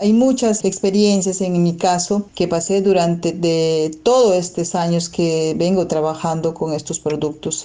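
With a Peruvian accent, a woman speaks at a fairly slow pace in a dark, mellow tone and fairly even intonation. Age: 40s. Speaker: alternative medicine therapist. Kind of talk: personal testimony. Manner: hesitant, with repetitions.

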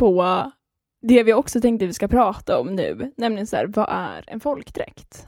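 On a very clean recording with a silent background, a woman with vocal fry and a fairly high pitch talks at a moderate pace with ordinary pitch variation. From Skåne, Sweden. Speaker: podcast co-host, craft student. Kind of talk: casual chat.

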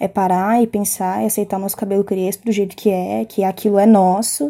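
Recorded very cleanly over a silent background, a woman with a dark, mellow tone and medium pitch speaks at a moderate pace in a monotone, flat intonation. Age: 20s. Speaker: hair braider. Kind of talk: casual self-introduction.

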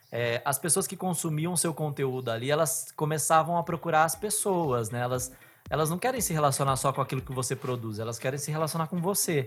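Somewhat breathy, this voice carries ordinary pitch variation and moves at a fairly quick pace. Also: man, fairly high pitch for a man. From Bauru, São Paulo state, Brazil. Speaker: podcast host, former TV journalist. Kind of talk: casual interview chat; scripted narration.

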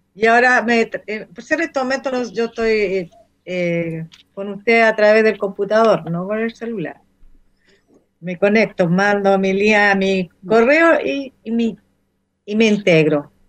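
The speech moves at a fairly slow pace, with big swings in loudness and ordinary pitch variation. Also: woman. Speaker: retired hospital worker, florist. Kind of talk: casual chat.

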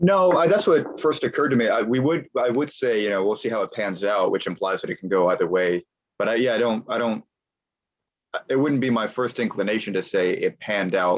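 An ordinary speaking voice with an American accent, fairly quick pace and lively intonation. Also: man, medium pitch for a man. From United States. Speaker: guest, language learner living in Argentina before. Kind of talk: casual interview chat.

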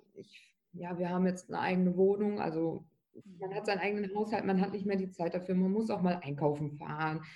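Speaking at a fairly quick pace, a woman with a medium pitch and a dark, mellow tone keeps her intonation fairly even. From Lower Saxony, Germany (Bückeburg). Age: 20s. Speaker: trainee office clerk and tattooed model. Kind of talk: interview.

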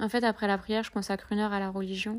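A woman's medium-pitched voice comes through a very clean recording with a silent background. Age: 30s. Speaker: podcaster. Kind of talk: personal monologue. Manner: halting.

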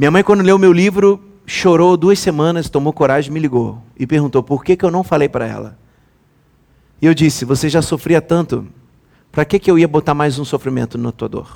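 A man's fairly high voice with an animated tone at a moderate pace, ordinary pitch variation, and a dry, close sound with no echo in a very clean recording with a silent background. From Brazil, Rio de Janeiro. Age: 30s. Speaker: pastor. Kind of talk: sermon.

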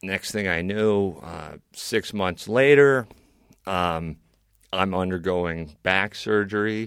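A man speaks at a very slow pace with a very deep, low pitch. The recording is very clean, the background silent. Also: ordinary pitch variation. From New York, Bedford area. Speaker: comedian and TV personality. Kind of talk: casual chat. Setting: studio. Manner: halting, many fillers.

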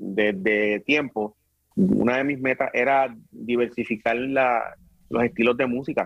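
A man with an unremarkable speaking voice and a medium pitch talks at a fairly slow pace, using ordinary pitch variation. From Puerto Rico, Carolina and Bayamón. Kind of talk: casual interview.

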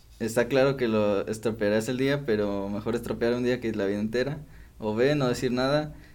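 With audible room echo around him, a man speaks at a medium pitch with fairly even intonation. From Mexico, Morelia, Michoacán. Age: 20s. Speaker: podcast host. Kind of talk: casual chat.

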